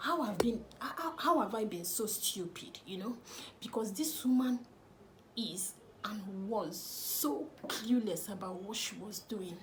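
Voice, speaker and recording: A woman's fairly high voice in a Nigerian accent, very slow with lively intonation, amid audible room echo and noticeable background noise. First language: Nigerian language, not English. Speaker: lifestyle vlogger. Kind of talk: personal storytelling vlog.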